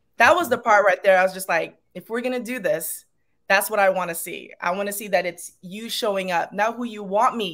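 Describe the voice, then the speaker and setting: A Long Island accent at a moderate pace, with ordinary pitch variation, big swings in loudness, and a very clean recording against a silent background. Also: woman. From Long Island, New York. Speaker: yoga instructor. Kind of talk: podcast interview.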